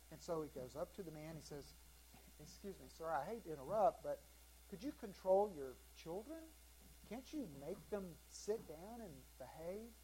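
The pace is moderate. Long pauses come often. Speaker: pastor. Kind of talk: sermon. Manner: loud.

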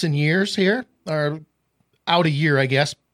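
On a very clean, dry, close recording with a silent background and no echo, a man with an Upper Midwest accent and a fairly high pitch speaks fairly slowly with ordinary pitch variation. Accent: Upper Midwest American. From northwest Iowa. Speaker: real estate podcast host. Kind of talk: casual chat.

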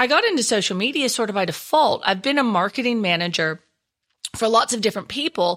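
A woman with a strong Texan accent talks with lively intonation. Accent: Texan, still strong. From Texas. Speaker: social media trainer and speaker. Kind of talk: interview, expert talk.

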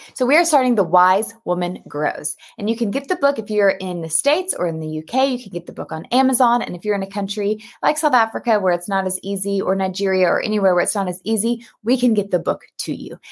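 A woman talks very fast with hardly any pauses, her medium-pitched voice full of lively intonation. Her tone is animated and warm. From US Texas. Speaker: pastor and Bible study host. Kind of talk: casual live video chat. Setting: live video stream. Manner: animated, warm, enthusiastic.

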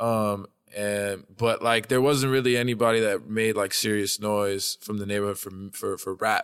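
At a moderate pace, a man with a New York accent speaks with fairly low pitch and fairly even intonation. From New York City, Manhattan (Hell's Kitchen). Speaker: rapper. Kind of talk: casual interview chat.

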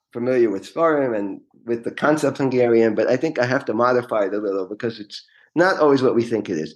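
A man with a New York accent, fairly quick pace and lively intonation. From New York City (Queens). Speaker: real estate lawyer. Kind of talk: interview.

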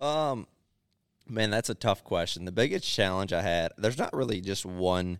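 A man with an American accent speaks at a moderate pace in a fairly low voice with ordinary pitch variation, on a very clean recording with a silent background. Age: 20s. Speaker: produce farmer and market owner. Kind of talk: casual interview.

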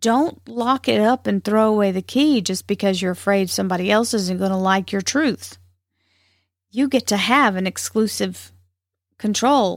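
On a very clean recording with a silent background, a woman with a Southern US accent speaks at a moderate pace with ordinary pitch variation. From US South. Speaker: spiritual podcast host. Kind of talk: spiritual talk.

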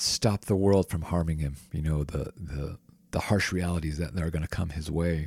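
Somewhat breathy, a man talks at a fairly slow pace in a dry, close sound with no echo. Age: 30s. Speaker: yoga podcast host. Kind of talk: casual chat. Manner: halting.

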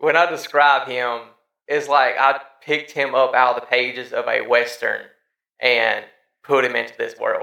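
A man talks at a moderate pace. He leaves long, frequent pauses. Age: 30s. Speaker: podcast host. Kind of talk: casual chat.

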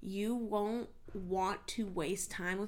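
A woman speaks at a medium pitch with a Californian accent. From US West Coast (San Diego, California). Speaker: podcast host and mindset coach. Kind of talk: solo podcast monologue. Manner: animated.

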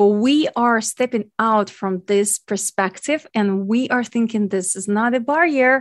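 A woman reads at a fairly slow pace in a Ukrainian accent, her fairly high voice showing ordinary pitch variation. The background is quiet, and the sound is dry and close with no echo. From Ukraine. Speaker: podcast host and nutrition coach. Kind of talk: educational podcast monologue.

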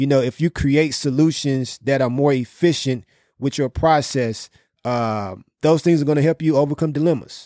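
A man's dark, mellow tone at a moderate pace, with a dry, close sound and no echo. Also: ordinary pitch variation, very clean recording, silent background. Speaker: podcast host. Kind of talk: casual business podcast discussion. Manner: casual, conversational.

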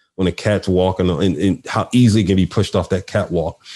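A man with a Philadelphia accent, fairly low in pitch, his tone dark and mellow, against a quiet background. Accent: Philadelphia American English. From Philadelphia, US. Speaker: nonprofit CEO and HR executive. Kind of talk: interview conversation.

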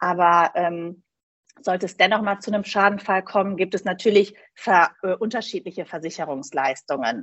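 This is a plain, everyday voice. It moves at a moderate pace. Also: woman, medium pitch for a woman, ordinary pitch variation. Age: 40s. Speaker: insurance broker. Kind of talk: interview.

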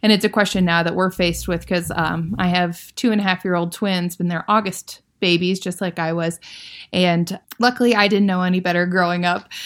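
Her voice is fairly low in pitch and monotone, with flat intonation and an American accent. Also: fairly quick pace. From US Midwest, Iowa. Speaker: aerospace engineer. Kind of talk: interview. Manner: hesitant, many fillers.

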